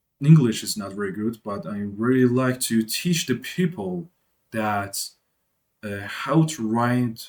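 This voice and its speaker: Very slowly and with lively intonation, a man with a non-native accent speaks at a medium pitch. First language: not English. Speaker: programming tutor. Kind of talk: tutorial. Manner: halting.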